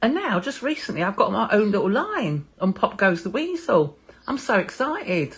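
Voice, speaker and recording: A woman's voice with vocal fry and very wide pitch swings at a moderate pace. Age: 60s. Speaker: artist and former model. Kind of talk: interview answers.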